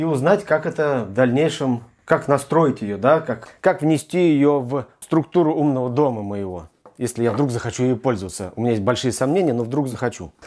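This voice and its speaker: Lively intonation marks this man's speech. He talks at a moderate pace against a quiet background. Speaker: tech reviewer. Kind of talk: unboxing tutorial. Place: home room. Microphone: lapel.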